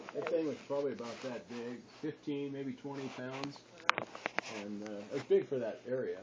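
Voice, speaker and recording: A man speaks at a fairly high pitch and a moderate pace, with ordinary pitch variation. Background noise is noticeable. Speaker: grandfather. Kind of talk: family storytelling.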